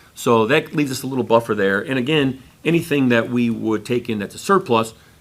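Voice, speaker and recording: A man is speaking. His pace is fairly quick. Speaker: school district finance administrator. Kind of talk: board meeting presentation. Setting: public board meeting. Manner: fast.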